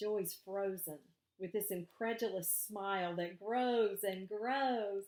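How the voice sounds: The speaker uses a natural reading voice with ordinary pitch variation over a quiet background.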